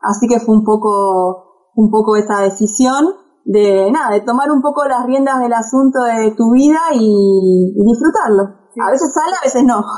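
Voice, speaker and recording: This woman has an ordinary speaking voice, fairly high in pitch with ordinary pitch variation. She talks at a fairly slow pace with hardly any pauses. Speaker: travel blogger and journalist. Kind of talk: interview. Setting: remote call from home.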